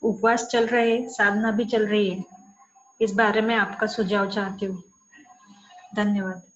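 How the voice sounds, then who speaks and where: The delivery has monotone, flat intonation and long, frequent pauses, with noticeable background noise. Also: woman, fairly high pitch for a woman. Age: 30s. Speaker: caller asking a health question. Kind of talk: recorded question.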